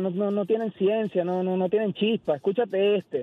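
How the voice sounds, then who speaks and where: A man talks at a high pitch. His pace is moderate. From Venezuela. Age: 30s. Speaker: caller, listener. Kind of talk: radio call-in. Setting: phone call.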